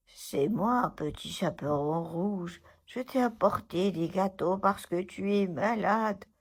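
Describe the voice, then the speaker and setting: On a very clean recording with a silent background, a female-sounding put-on character voice speaks at a fairly slow pace and medium pitch. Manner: sweet, feigned, hiding the big wolf voice.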